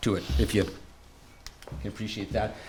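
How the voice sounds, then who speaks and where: A man with a strong Canadian accent talks at a fairly quick pace. Room echo is audible. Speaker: patient advocate and former swim coach. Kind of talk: conference presentation.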